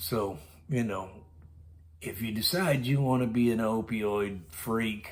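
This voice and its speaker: In an American accent, a man of medium pitch speaks very slowly, with audible room echo. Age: 60s. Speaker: storytelling vlogger. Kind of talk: casual monologue storytelling.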